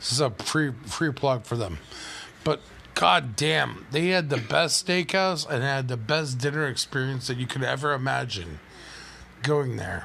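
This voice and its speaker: A man's medium-pitched, ordinary speaking voice, fairly slow-paced with lively intonation. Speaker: podcast host. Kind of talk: casual chat. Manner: profane, joking.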